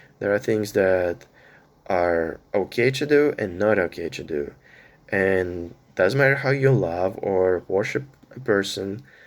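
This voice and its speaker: The recording is very clean, with a silent background. A man with a fairly low pitch speaks at a fairly slow pace with lively intonation. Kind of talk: personal monologue vlog. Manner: halting, many fillers.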